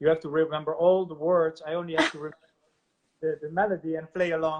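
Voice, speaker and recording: A man with a Limburg accent speaks at a very fast pace, his pitch fairly high and his intonation monotone and flat. His loudness swings widely. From Netherlands, Maastricht. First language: Maastricht dialect. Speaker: musician. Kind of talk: casual chat. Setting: video call. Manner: halting.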